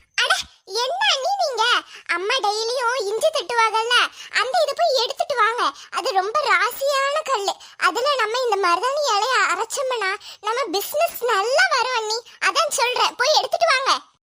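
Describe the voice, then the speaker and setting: A woman puts on a cartoonish character voice with an extremely high pitch. She speaks at a fairly slow pace. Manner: chatty, self-assured.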